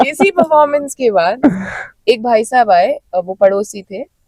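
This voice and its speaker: A woman speaks at a fairly high pitch, the sound dry and close with no echo. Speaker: folk musician. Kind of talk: casual chat. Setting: festival venue. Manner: animated.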